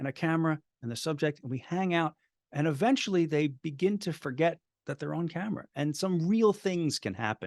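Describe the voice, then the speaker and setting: With an ordinary speaking voice, a man talks at a fairly quick pace and a fairly high pitch with lively intonation, the sound dry and close with no echo over a quiet background. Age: 60s. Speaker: filmmaker. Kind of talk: interview. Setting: video call.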